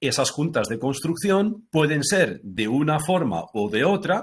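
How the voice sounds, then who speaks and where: This man's fairly high voice carries vocal fry and swings very widely in pitch. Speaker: technical presenter for a concrete fiber company. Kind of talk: webinar presentation. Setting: online webinar.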